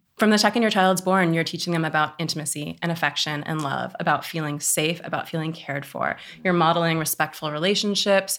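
This woman talks at a fairly quick pace in a Californian accent, her pitch very deep and low, on a very clean recording with a silent background. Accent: General American (California). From Oakland, California. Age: 30s. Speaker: sex educator. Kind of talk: casual interview.

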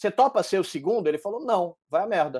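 A man with a high voice talks at a fairly quick pace on a very clean recording with a silent background. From Brazil, Salvador (Bahia). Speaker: entrepreneur and podcaster. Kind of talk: casual interview chat.

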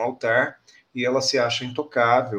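Bright, sharp tone at a fairly slow pace. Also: man. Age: 50s. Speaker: corporate speaker and businessman. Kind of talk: interview.

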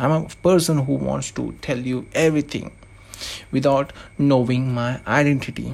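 A man with a non-native accent talks at a moderate pace. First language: not English. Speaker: anonymous podcaster. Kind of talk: monologue podcast intro.

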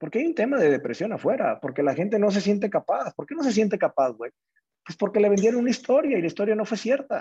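A man's very fast, high-pitched voice with a Mexican accent, a dark, mellow tone and very wide pitch swings. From Mexico, small town in Jalisco. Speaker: entrepreneur. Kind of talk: casual interview chat.

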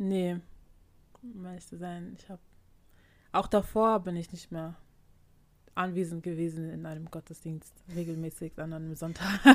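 A woman with a fairly low pitch talks at a moderate pace in a monotone, flat intonation, her loudness swinging widely between long, frequent pauses. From Germany, Ghanaian community. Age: young adult. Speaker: podcast co-host. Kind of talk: casual chat.

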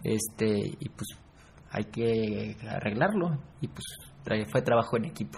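With lively intonation, a man speaks at a very slow pace, leaving long, frequent pauses. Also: medium pitch for a man. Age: 20s. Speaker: university student. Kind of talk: casual interview.

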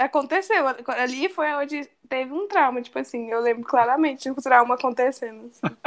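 In a very clean recording with a silent background, a woman speaks fairly quickly at a high pitch with ordinary pitch variation. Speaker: film enthusiast guest. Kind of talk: casual chat.

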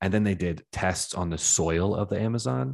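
Very deep, low male voice at a fairly slow pace, in a very clean recording with a silent background. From Washington DC area. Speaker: podcast host. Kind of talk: casual interview chat. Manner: casual, sweary.

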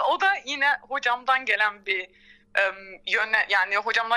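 Raised and projected, a woman's voice rings bright and sharp with very wide pitch swings. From Turkey, Izmir. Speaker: orchestral violist. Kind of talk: interview.

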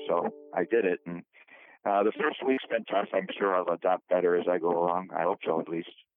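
Speaking at a fairly quick pace with an American accent, a man with a very deep, low pitch and ordinary pitch variation talks over music in the background. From Rochester, New York. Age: 70s. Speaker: retired newspaper and radio journalist. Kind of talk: casual interview.

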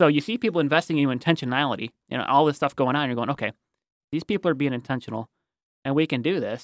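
In a dry, close sound with no echo, a speaker with an American accent talks very fast with ordinary pitch variation. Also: man, fairly high pitch for a man, very clean recording, silent background. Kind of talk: casual interview.

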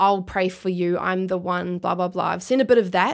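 The voice, in a New Zealand accent, has fairly even intonation. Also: woman, very clean recording, silent background. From New Zealand, Christchurch. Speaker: rap and spoken word artist. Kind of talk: interview.

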